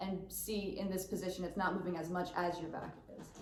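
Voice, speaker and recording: Over noticeable background noise and audible room echo, a woman talks at a fairly quick pace. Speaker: choir director. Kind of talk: choir rehearsal warm-up instruction. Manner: fast.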